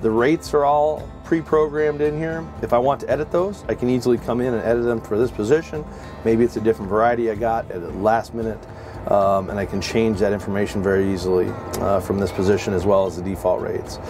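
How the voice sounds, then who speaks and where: Over clear background music, a man speaks at a very fast pace. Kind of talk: tutorial. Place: farm machine.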